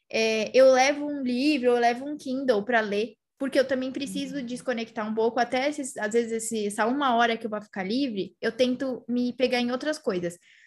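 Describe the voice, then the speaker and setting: Speaking with a high pitch and fairly even intonation, a woman moves at a fairly quick pace. She leaves hardly any pauses. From São Paulo, Brazil. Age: 20s. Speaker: podcast host, social media marketer. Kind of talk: casual interview chat.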